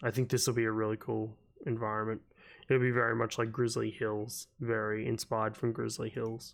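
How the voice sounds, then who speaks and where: In an Australian accent, a man at medium pitch talks at a fairly quick pace in a monotone, flat intonation, recorded very cleanly with a silent background. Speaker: gaming YouTuber. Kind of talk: casual talk to camera.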